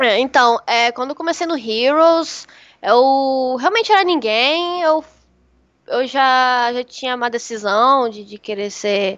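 Against a quiet background, a woman speaks at a high pitch. Her intonation is lively. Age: 20s. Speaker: streamer. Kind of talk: casual chat.

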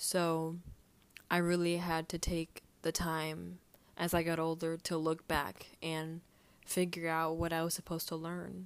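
In a very clean recording with a silent background, a woman with a fairly low pitch talks at a fairly slow pace in a flat, monotone way. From Texas. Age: 20s. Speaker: podcast host. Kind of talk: personal monologue, faith reflection. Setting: recording at home.

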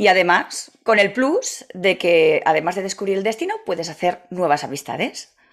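The recording is very clean, with a silent background. A woman with an unremarkable speaking voice talks at medium pitch and a moderate pace. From Catalonia, Spain. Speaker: travel agency founder. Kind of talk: interview.

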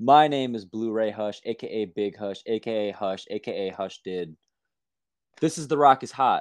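An animated tone comes at a moderate pace, with ordinary pitch variation and big swings in loudness. The sound is dry and close with no echo, against a quiet background. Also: man. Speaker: sports podcast host. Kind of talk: casual chat.

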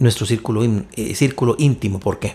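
A man talks at a very fast pace in a dark, mellow tone that is somewhat breathy, on a very clean recording with a silent background. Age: 50s. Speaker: entrepreneur and men's ministry leader. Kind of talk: casual chat.

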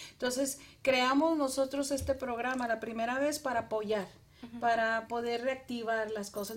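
Fairly even intonation at a fairly slow pace. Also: woman. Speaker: businesswoman. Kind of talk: casual chat.

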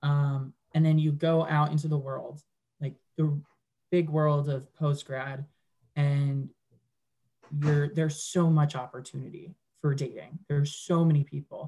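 A man with a fairly high pitch and a dark, mellow, somewhat breathy tone speaks at a fairly slow pace in a monotone, flat intonation, with long, frequent pauses. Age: 20s. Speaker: digital marketer. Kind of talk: casual chat.

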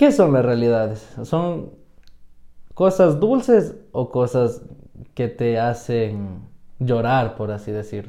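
A man speaks very slowly with a Quito accent, leaving long, frequent pauses. His medium-pitched voice has a dark, mellow tone and ordinary pitch variation. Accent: Quito Ecuadorian Spanish. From Ecuador, Quito (south). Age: 20s. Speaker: podcast co-host. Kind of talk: casual chat.

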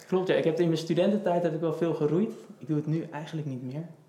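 A man talks with a dark, mellow tone. The room echo is audible. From Netherlands, Houten (Utrecht province). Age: 20s. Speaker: project manager and cyclist with type 1 diabetes. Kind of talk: casual interview.

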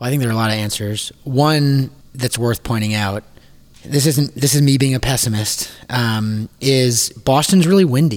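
In a normal speaking voice, a man talks at a moderate pace with medium pitch and ordinary pitch variation. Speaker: restaurant industry team member. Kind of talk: casual discussion. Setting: makeshift studio.

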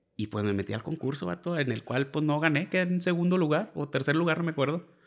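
Over a silent background in a very clean recording, a man with an unremarkable speaking voice uses lively intonation. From Piedras Negras, Coahuila, Mexico. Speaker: musician, bassist. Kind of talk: casual interview chat. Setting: host's home.

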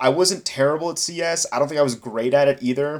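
A man with a fairly high pitch uses an ordinary speaking voice, talking at a fairly quick pace with ordinary pitch variation. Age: 20s. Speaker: recent graduate, pre-med. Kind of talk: casual chat.

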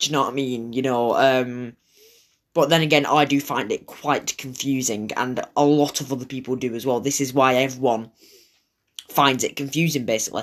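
The speaker has a Lancashire accent and talks at a moderate pace. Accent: Wigan. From northern England (Manchester/Wigan). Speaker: podcast host. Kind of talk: casual solo monologue. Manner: hesitant, many fillers.

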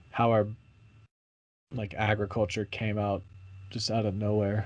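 Over a quiet background, the speech unfolds at a moderate pace. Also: man. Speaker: podcast host. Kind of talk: casual chat. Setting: podcast recording.

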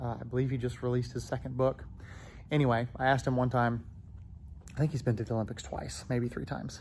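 A man of medium pitch speaks at a very fast pace, somewhat breathy and fairly even in intonation, with audible room echo around him. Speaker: gymnastics coach. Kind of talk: casual monologue. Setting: gym, walking around. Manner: rambling, filler-heavy.

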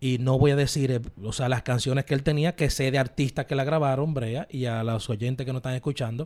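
Here is a man with an unremarkable speaking voice at a medium pitch. He talks at a fairly quick pace with fairly even intonation and hardly any pauses. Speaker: radio host. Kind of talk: casual chat.

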